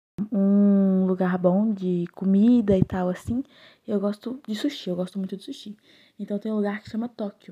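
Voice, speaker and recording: The voice is somewhat breathy with a dark, mellow tone and big swings in loudness, set against a quiet background. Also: woman, medium pitch for a woman, fairly even intonation, moderate pace. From Belo Horizonte, Brazil. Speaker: podcast guest. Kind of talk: casual chat.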